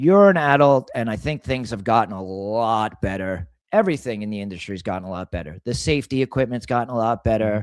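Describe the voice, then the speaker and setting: On a very clean recording with a silent background, a man has a normal speaking voice. He speaks at medium pitch and a fairly quick pace. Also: ordinary pitch variation, hardly any pauses. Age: 40s. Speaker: auto body shop owner. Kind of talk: casual chat. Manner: casual, profane and repetitive.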